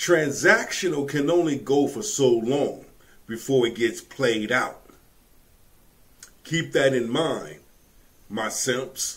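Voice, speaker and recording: The speech moves at a very slow pace with long, frequent pauses and ordinary pitch variation. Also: man. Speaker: reaction commentator. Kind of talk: commentary. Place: home room.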